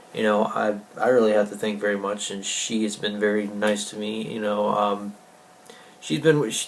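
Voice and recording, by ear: The speech moves at a moderate pace, and there is audible room echo. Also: man.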